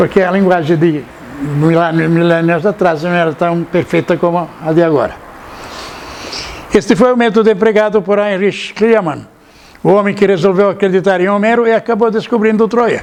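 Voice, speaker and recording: A man's voice, high in pitch, with noticeable background noise. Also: ordinary pitch variation, moderate pace. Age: 80s+. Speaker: lecturer on ancient mysteries and author. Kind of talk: lecture. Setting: seated, talk to live audience. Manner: halting, repeats words.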